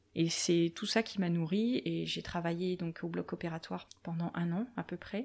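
A woman talks at a fairly slow pace, with hardly any pauses. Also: fairly low pitch for a woman, fairly even intonation. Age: 30s. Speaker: medical tattoo artist, former nurse. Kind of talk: interview conversation. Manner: hesitant, many fillers.

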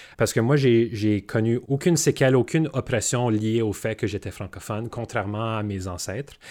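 A man speaks in a normal speaking voice at a moderate pace and medium pitch, with ordinary pitch variation. He barely pauses, and the recording is very clean with a silent background. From Manitoba, Canada. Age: young. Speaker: businessman. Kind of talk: panel discussion.

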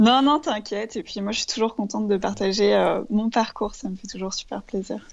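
A woman's fairly high voice with vocal fry at a moderate pace, with hardly any pauses. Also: ordinary pitch variation, big swings in loudness. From France, Paris. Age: 30s. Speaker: ceramic artist and entrepreneur. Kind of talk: interview, casual chat.

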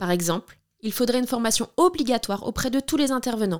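This woman has a plain, everyday voice, fairly high in pitch and at a moderate pace, captured on a very clean recording with a silent background. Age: 30s. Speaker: podcast host, documentary maker. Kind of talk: scripted narration.

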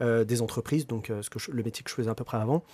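A man talks in a medium pitch with a dark, mellow tone and ordinary pitch variation. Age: 30s. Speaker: entrepreneur. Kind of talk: interview. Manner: hesitant, many fillers.

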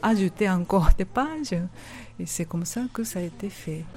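A woman with a Japanese accent and a medium pitch speaks at a very slow pace in a somewhat breathy voice with a dark, mellow tone. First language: Japanese (speaking French). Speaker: author-illustrator. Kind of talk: interview.

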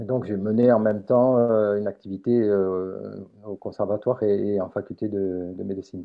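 Speaking at a moderate pace, a man uses fairly low pitch and fairly even intonation. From southern France. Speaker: phoniatrist. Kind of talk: interview. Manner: soft-spoken.

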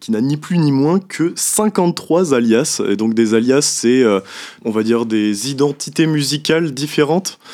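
In a very clean recording with a silent background, a man with an ordinary speaking voice talks at a fairly slow pace, his medium pitch carried by lively intonation. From Brittany, France. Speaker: young musician and columnist. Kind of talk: radio talk show. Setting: radio studio.

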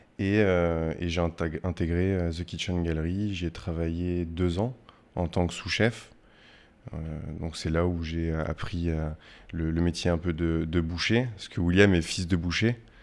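A man with a very deep, low voice talks very slowly, his intonation fairly even. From western France, Poitiers. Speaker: chef. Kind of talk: interview. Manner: hesitant, many fillers.

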